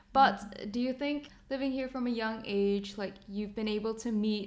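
A woman with a fairly high pitch talks in a normal speaking voice at a fairly slow pace, her intonation fairly even. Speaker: podcast co-host. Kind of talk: casual interview chat.

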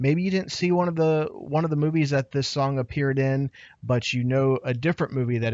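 A man at medium pitch speaks at a fairly quick pace in an ordinary speaking voice. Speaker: podcast host. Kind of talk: casual chat. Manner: excitable.

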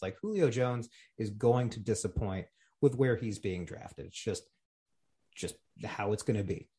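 Somewhat breathy, a man talks at medium pitch and a moderate pace with ordinary pitch variation. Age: 30s. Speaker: fantasy football league member, podcast co-host. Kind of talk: casual chat.

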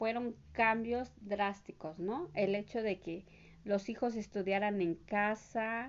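At a medium pitch, a woman is speaking. Her pace is very slow. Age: 40s. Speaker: homemaker. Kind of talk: interview. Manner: halting.

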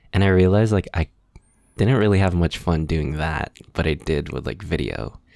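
With a Californian accent, a man talks at a moderate pace in a very deep, low voice. His pitch varies in an ordinary way. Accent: Californian American English. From Los Angeles, San Gabriel Valley. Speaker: musician and video maker. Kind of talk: casual chat. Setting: video call.

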